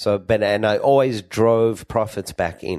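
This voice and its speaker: Fairly even intonation marks this man's speech in an Australian accent. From Australia (Sydney, Perth). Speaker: entrepreneur and pharmacist. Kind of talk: interview.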